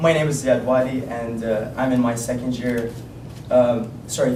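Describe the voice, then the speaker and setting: Speaking in an Arabic accent with flat, monotone intonation, a man is heard amid noticeable background noise and audible room echo. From Iraq, Baghdad. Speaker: university student. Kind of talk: student presentation. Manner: halting.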